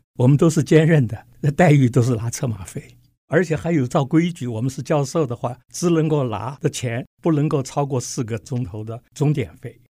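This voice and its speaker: With a dark, mellow tone and a somewhat breathy quality, a man talks at a moderate pace with ordinary pitch variation. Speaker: physics professor. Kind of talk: interview.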